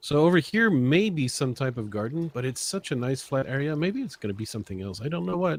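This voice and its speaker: Very fast and with hardly any pauses, a man talks at a medium pitch. His pitch swings very widely. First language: not English. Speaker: gaming YouTuber. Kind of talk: casual gameplay chat.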